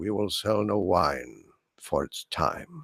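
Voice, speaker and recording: Putting on a raspy character voice, a man speaks at a fairly slow pace and a fairly low pitch. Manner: generic masculine, old-timey announcer.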